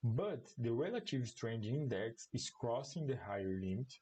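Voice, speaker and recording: Speaking at a moderate pace with a non-native accent, a man talks at medium pitch in a somewhat breathy voice with lively intonation. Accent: non-native English, apologizes for it. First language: Portuguese. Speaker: commodity market analyst. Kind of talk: live-streamed market analysis. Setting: online livestream. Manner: halting.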